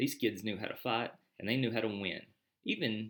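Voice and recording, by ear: Someone reads aloud in a natural voice with fairly even intonation. The background is quiet.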